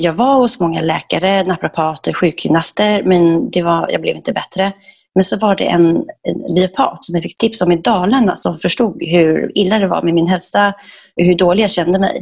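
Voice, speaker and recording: A woman with a plain, everyday voice speaks at a fairly low pitch, her pitch moving in an ordinary way. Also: moderate pace. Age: 40s. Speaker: raw food chef and entrepreneur. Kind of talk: podcast interview.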